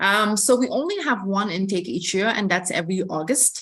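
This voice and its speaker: In an Ethiopian accent, the speaker talks at a moderate pace against a quiet background. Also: woman. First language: Amharic. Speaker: admissions representative. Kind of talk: information session. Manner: hesitant, many fillers.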